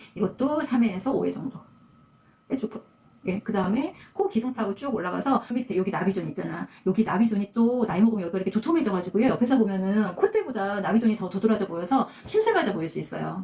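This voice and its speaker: Over noticeable background noise, a woman rushes along at a very fast speed. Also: fairly high pitch for a woman, ordinary pitch variation. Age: 60s. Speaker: esthetician. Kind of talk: tutorial. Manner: casual, conversational.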